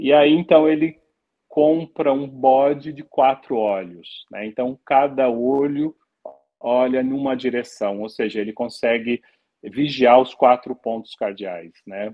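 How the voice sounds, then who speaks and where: Very slow delivery with ordinary pitch variation against a quiet background. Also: man, medium pitch for a man. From Brazil. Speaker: anthropology professor and author; anthropology professor. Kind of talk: interview; interview answer. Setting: live stream. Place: home room. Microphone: video call.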